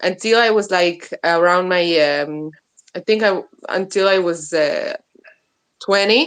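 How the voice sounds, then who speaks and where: With lively intonation and an Israeli accent, a woman speaks at a fairly slow pace. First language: Hebrew. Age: 30s. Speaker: interview guest, soap maker. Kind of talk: interview. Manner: halting, many fillers.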